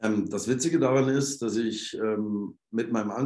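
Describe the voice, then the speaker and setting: Medium-pitched male voice with a dark, mellow tone, ordinary pitch variation and a moderate pace. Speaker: football head coach. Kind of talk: interview. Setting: remote call from the stadium.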